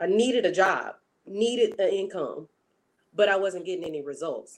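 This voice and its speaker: Animated in tone, a woman talks at a moderate pace. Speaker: online marketer and content creator. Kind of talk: interview. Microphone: wired headphones with built-in mic.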